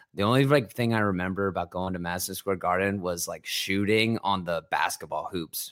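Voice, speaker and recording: In a very clean recording with a silent background, a man with an American accent and an unremarkable speaking voice talks at a fairly quick pace with hardly any pauses, his fairly low pitch showing ordinary variation. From Ohio. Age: 20s. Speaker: musician. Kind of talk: casual chat.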